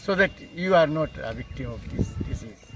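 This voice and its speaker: Noticeable background noise sits behind a man who speaks at a fairly slow pace with ordinary pitch variation. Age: 70s. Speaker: vaccinated elderly resident. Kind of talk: street interview. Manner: hesitant, many fillers.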